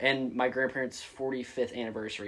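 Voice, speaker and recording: This man has a plain, everyday voice. His delivery is medium in pitch and moderate in pace. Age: 20s. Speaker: college student. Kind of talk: casual chat.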